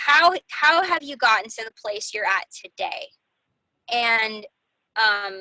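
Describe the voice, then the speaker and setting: A woman with an ordinary speaking voice talks at a fairly slow pace. Her pitch is fairly high and her intonation lively. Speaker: team leader of health coaches. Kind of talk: team call coaching talk.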